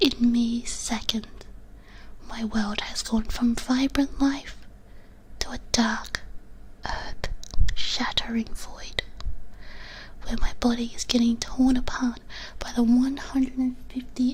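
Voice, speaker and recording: A soft-spoken woman whispering at a very slow pace, with long, frequent pauses and noticeable background noise. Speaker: vtuber, ASMR streamer. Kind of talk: ASMR whispered reading of copypasta. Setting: binaural ASMR microphone. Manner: whispered, soft.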